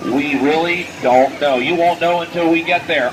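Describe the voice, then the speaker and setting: Noticeable background noise sits under an animated voice with ordinary pitch variation at a moderate pace. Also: man. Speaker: sideshow host / barker. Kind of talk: barker outside-the-tent come-on to passersby. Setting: outdoors, live crowd at a fairground. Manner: showman, animated, jokey.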